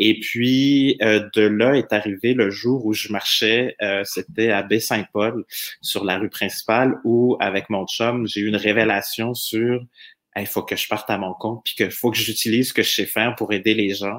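Speaking fairly slowly, a man uses a plain, everyday voice at medium pitch with fairly even intonation. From France. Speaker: employer branding consultant. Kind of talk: podcast interview.

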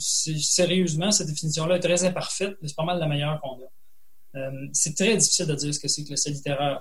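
With noticeable background noise and audible room echo, a man talks in a fairly high pitch with fairly even intonation. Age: 40s. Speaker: writer and college teacher. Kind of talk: interview. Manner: halting, many repetitions.

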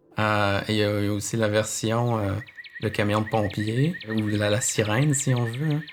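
Noticeable background noise sits behind a man speaking at a fairly slow pace. His pitch is medium and his intonation fairly even. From Quebec City. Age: 30s. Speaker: ornithologist, park patroller. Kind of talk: interview. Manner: halting, with filler words.

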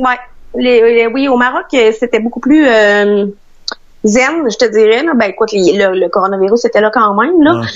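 An unremarkable speaking voice from a woman, fairly high in pitch, at a fairly slow pace with ordinary pitch variation. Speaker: traveller stranded abroad. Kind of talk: interview.

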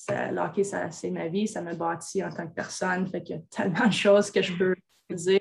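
Hardly pausing, a woman speaks at a moderate pace in a fairly low, monotone, flat voice with big swings in loudness. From Quebec, Rouyn-Noranda. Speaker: national women's hockey team general manager. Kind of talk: interview. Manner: halting.

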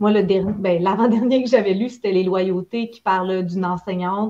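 A woman's medium-pitched voice in a Quebec accent, with fairly even intonation. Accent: Québécois French. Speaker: book podcast host. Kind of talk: casual chat. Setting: video call.

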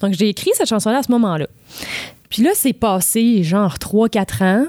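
A woman is talking here. She has a fairly high pitch. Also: dry, close sound with no echo. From Quebec, Charlevoix (Baie-Saint-Paul). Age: 20s. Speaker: singer-songwriter. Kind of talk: interview. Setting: studio.

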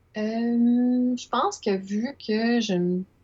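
A woman with a Quebec accent speaks with fairly even intonation. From Quebec, Montreal. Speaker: illustrator. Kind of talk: casual interview. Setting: video call.

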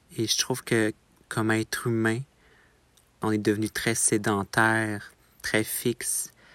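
A man speaks very slowly at a medium pitch, in a monotone, flat delivery with very even loudness and long, frequent pauses. The very clean recording is dry and close, with no echo and a silent background. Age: 20s. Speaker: photographer. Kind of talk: personal reflection narration. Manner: hesitant, with frequent fillers.

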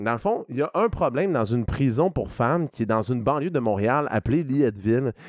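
An unremarkable speaking voice from a man at medium pitch, fairly quick and with hardly any pauses, lively in intonation, in a dry, close sound with no echo. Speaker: returning podcast guest. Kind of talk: casual chat.

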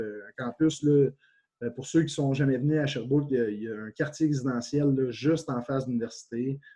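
A man's somewhat breathy medium-pitched voice at a fairly quick pace, with ordinary pitch variation. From Quebec, Témiscamingue region. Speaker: university football coach, former pro player. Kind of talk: interview.

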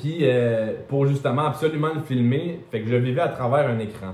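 There is audible room echo around this man's Quebec accent. He speaks at a medium pitch with ordinary pitch variation. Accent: Québécois French. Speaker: travel content creator. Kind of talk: interview.

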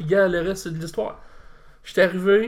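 High pitch and fairly even intonation from a man. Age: 30s. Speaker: wrestling federation president. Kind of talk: casual interview.

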